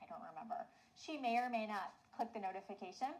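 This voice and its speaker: Lively intonation and an animated tone mark this woman's fairly high pitch. She talks at a fairly quick pace and sounds somewhat breathy. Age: 40s. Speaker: online business coach. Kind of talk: webinar training. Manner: fast.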